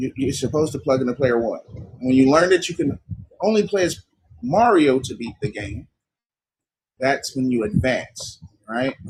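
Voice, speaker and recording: Somewhat breathy, a man speaks at a moderate pace with lively intonation. He takes long, frequent pauses. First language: not English. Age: 30s. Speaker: livestream host. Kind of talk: livestream talk. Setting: live stream. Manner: halting.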